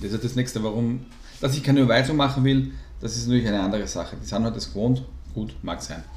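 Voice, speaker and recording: At a very fast pace, a man talks in a medium pitch, with audible room echo around him. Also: ordinary pitch variation. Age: 40s. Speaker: podcast co-host. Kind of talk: casual chat.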